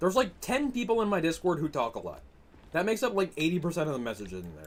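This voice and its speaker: A man with an American accent talks at a very fast pace, his pitch fairly high and swinging very widely. Vocal fry runs through his voice. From Massachusetts, US. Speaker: gaming streamer. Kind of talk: live stream commentary while gaming, reading chat. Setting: live stream. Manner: casual, animated.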